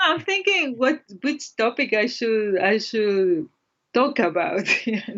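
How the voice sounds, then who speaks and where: Very wide pitch swings run through a Spanish accent at a very slow pace. The loudness stays very even. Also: woman, fairly high pitch for a woman. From El Salvador, small town. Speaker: Japanese language teacher. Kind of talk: casual chat.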